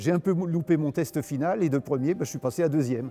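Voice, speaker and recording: The voice has a dark, mellow tone. It moves at a fairly quick pace with ordinary pitch variation. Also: man. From Paris region, France. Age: 80s+. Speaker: retired aerobatic pilot. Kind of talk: interview testimony. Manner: hesitant, many fillers.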